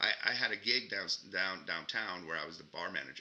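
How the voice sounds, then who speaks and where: At a moderate pace, a man speaks with a Mexican accent. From Mexico, Ciudad Juarez, Chihuahua. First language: Spanish. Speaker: actor. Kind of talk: interview. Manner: conversational.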